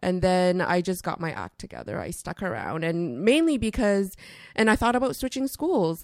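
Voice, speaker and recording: With a Canadian accent, a woman at medium pitch speaks at a moderate pace with very wide pitch swings on a very clean recording with a silent background. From Canada (Toronto). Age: 30s. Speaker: investment educator and author. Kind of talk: interview. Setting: studio.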